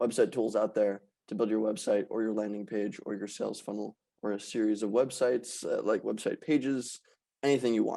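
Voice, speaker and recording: Talking fairly quickly, a man has a dark, mellow tone. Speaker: livestreamer and no-code startup builder. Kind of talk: guest talk. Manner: fast; casual.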